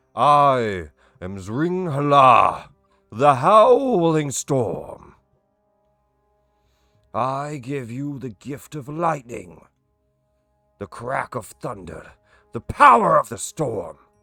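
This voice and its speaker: Using a put-on character voice, a man speaks very slowly at a fairly high pitch with long, frequent pauses as faint music plays in the background. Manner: grandiose, commanding.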